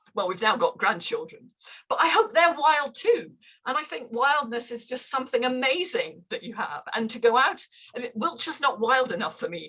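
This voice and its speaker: A woman with a Scottish accent speaks at a high pitch in a bright, sharp tone, her voice raised and projected. Her pitch swings very widely and her loudness swings a lot. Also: moderate pace. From northern Scotland. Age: 70s. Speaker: runner. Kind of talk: casual chat.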